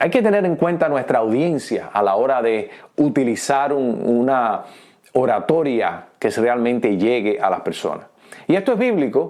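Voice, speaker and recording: The speaker uses a Cuban accent and lively intonation at a fairly slow pace. Loudness stays very even throughout. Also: man, medium pitch for a man. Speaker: pastor. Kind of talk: teaching talk. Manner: hesitant fillers.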